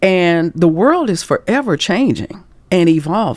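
A woman's normal speaking voice, a normal speaking voice with fairly low pitch and lively intonation. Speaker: career coach and author. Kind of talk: casual interview chat.

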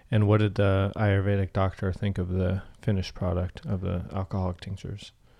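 In a very deep, low pitch, a man talks fairly quickly with a dark, mellow tone and flat, monotone intonation. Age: 30s. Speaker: podcast host. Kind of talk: casual chat.

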